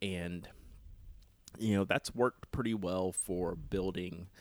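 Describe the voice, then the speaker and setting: A man with an American accent and a very deep, low pitch. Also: very clean recording, silent background. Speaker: podcaster. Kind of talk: casual chat.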